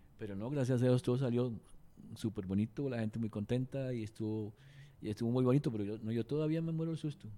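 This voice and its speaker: Very fast speech from a man, medium in pitch, dark and mellow in tone, with ordinary pitch variation. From Cuba. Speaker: singer-songwriter and record producer. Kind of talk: casual interview.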